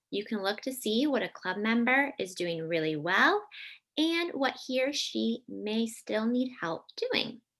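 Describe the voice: A person reads out loud in a plain manner.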